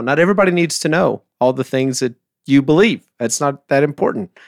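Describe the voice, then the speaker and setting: A man with a normal speaking voice and a fairly high pitch talks at a moderate pace with lively intonation. The recording is very clean, with a silent background. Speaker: church team member, co-host. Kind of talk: casual chat.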